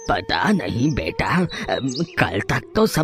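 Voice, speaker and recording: A man uses a cartoonish character voice at a very slow pace over clear music in the background. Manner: hesitant with filler sounds.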